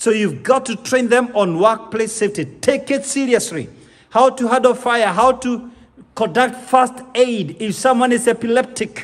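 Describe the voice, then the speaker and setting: At a moderate pace, a man talks at an extremely high pitch with ordinary pitch variation. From Kenya. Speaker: corporate speaker and business consultant. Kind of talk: motivational business talk. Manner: emphatic, didactic.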